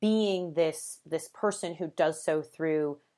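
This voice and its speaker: On a very clean recording with a silent background, a woman speaks. Her tone is animated and her pace fairly slow. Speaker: podcast host and English teacher. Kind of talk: solo podcast monologue. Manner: authoritative, strong.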